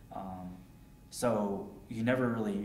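A man speaks with an American accent. Room echo is audible, and there is light background noise. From Connecticut, Hartford area; Connecticut. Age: 20s. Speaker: war veteran. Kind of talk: oral history interview. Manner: halting, many fillers. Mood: calm, reflective. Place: home room.

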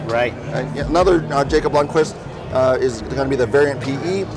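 A man talks with ordinary pitch variation while clear music plays in the background. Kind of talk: interview answer. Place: hall. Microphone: lapel.

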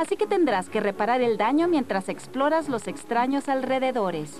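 A woman speaks at a high pitch with very wide pitch swings. Noticeable background noise runs underneath. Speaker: voice actor. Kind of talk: TV video game review voice-over. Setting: studio.

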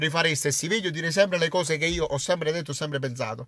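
A man's very fast speech with a bright, sharp tone, dry and without echo, against a quiet background. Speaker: YouTuber, football fan commentator. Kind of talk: casual vlog monologue. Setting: in a car. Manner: animated. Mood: proud, defiant, sincere. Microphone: phone near.

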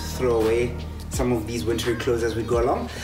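A man's voice with clear music playing in the background. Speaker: fitness instructor. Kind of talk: workout tutorial. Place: garden. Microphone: camera far.

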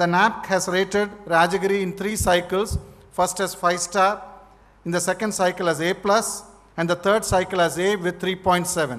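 This man has a high pitch and fairly even intonation, speaking at a moderate pace. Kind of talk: formal speech. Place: hall. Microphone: podium.

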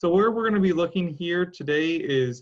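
Against a quiet background, the speaker keeps a moderate pace and ordinary pitch variation. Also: man. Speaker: teacher. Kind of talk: lecture. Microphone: webcam.

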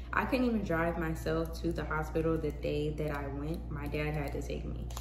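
The talking proceeds at a moderate pace with fairly even intonation against noticeable background noise. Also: woman. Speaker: vlogger. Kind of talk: casual vlog monologue. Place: home room. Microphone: phone near.

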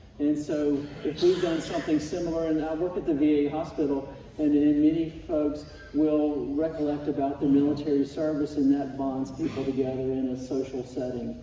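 Monotone, flat delivery from a man at a moderate pace, with audible room echo and light background noise. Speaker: Sunday school teacher. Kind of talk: sermon. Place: church. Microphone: camera far.

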